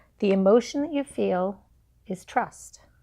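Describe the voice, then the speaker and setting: On a very clean recording with a silent background, a woman speaks with an English accent. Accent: English accent, obvious. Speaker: book reviewer, self-help vlogger. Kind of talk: casual vlog talk. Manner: halting, many fillers.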